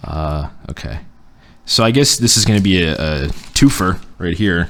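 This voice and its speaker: A man speaks with a very deep, low pitch and vocal fry. His pitch swings very widely. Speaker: podcast host. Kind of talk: casual chat. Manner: stutters when uncomfortable or talking fast.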